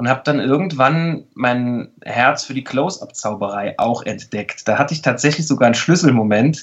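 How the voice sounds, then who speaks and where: A man with an ordinary speaking voice at medium pitch, ordinary pitch variation, a moderate pace, and hardly any pauses. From Saarland, Germany. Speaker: mentalist and body language expert. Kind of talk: casual interview.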